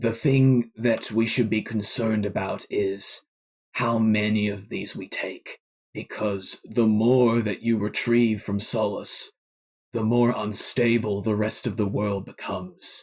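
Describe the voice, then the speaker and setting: A man uses a put-on character voice with a solemn tone and medium pitch. He speaks at a fairly slow pace in a monotone, flat intonation. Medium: actual play. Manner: formal, measured, solemn.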